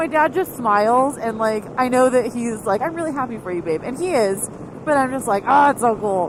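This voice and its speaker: Fairly quick, animated speech with lively intonation over noticeable background noise. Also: woman, high pitch for a woman. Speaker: motorcycle vlogger. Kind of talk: casual vlog monologue. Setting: riding motorcycle, helmet camera.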